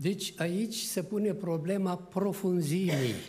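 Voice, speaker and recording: A very slow pace with ordinary pitch variation amid audible room echo. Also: man. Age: 80s+. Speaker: preacher. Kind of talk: sermon. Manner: animated.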